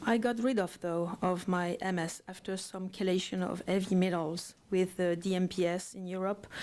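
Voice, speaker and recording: At a fairly slow pace, a woman speaks at medium pitch in a French accent. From France. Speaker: parent testifying at public hearing. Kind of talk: public testimony. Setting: legislative committee hearing room. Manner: halting, many fillers.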